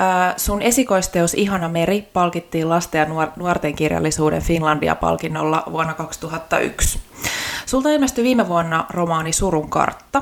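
The intonation is lively, and there is noticeable background noise. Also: woman. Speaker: podcast host. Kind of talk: casual interview.

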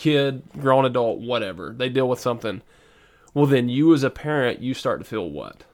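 A man speaks with a Southern US accent at a medium pitch and moderate pace. His pitch varies in an ordinary way, and the recording is very clean with a silent background. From US South. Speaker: podcast co-host and preacher. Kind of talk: casual faith discussion.

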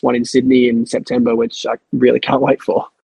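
Here a man speaks with an Australian accent. His pitch is medium and his pace moderate. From Tasmania, Australia (Queenstown). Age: 20s. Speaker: heart patient and youth mentor. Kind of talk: interview.

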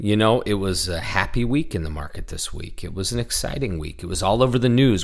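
A man puts on a hoarse character voice at a medium pitch, with lively intonation and a fairly quick pace.

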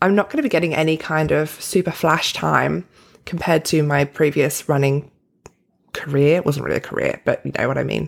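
In an Australian accent, a woman talks at a fairly quick pace. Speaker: podcast host and performance coach. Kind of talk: solo motivational talk.

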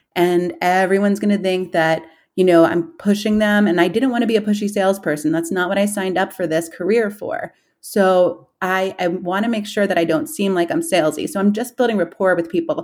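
In a very clean recording with a silent background, a woman with an American accent talks at a fairly quick pace and medium pitch in a normal speaking voice with ordinary pitch variation. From New York City, Queens. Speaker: real estate agent. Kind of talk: interview. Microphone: audio issues, partner's computer.

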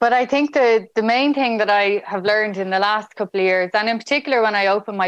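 A woman with a Dublin accent, fairly high-pitched, with ordinary pitch variation and a fairly quick pace, in a dry, close sound with no echo. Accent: Irish (Dublin). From Ireland, Dublin. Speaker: medtech entrepreneur. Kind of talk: interview.

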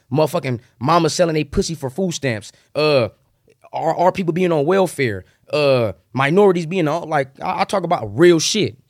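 A fairly high-pitched man with lively intonation at a moderate pace, in a very clean recording with a silent background. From Southern California, San Bernardino. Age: 20s. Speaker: rapper. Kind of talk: casual chat.

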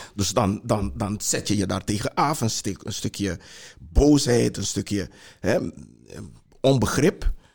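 A man with a fairly low pitch and vocal fry speaks at a very slow pace. His intonation is lively, broken by long, frequent pauses. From Suriname (Para district). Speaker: heritage institute director. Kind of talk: panel discussion. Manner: halting, many repetitions.

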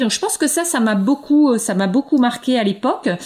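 A somewhat breathy woman at a fairly quick pace, her pitch swinging very wide. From France, eastern Paris. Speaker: linguistics professor. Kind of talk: interview. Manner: halting, many repetitions and fillers.

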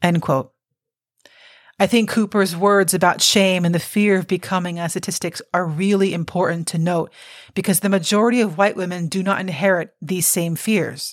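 In a plain, everyday voice, a woman with an American accent and medium pitch speaks at a moderate pace on a very clean recording with a silent background. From Cuban American. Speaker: podcast host. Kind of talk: scripted narration.

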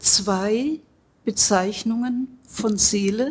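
A woman speaks at a fairly high pitch. Her pace is very slow. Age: 70s. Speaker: psychosomatic medicine doctor. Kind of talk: interview. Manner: hesitant, many fillers.

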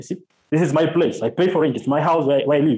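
Talking fairly quickly, the man has a high-pitched voice. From Kenya, Kisumu. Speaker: journalist and activist. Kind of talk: interview. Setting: call from Kenya.

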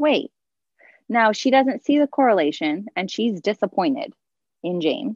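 Dry and close with no echo, a woman with an American accent speaks at a moderate pace in a fairly high voice. Her pitch swings very widely, she pauses long and often, and the background is quiet. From Southern California. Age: 30s. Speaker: podcast guest, mother. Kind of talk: casual chat.

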